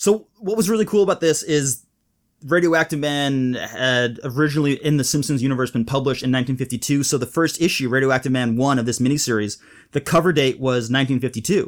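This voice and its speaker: Over a silent background on a very clean recording, a man speaks very fast with ordinary pitch variation. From Malaysia. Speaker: cartoonist and comics educator, podcast co-host. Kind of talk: casual chat.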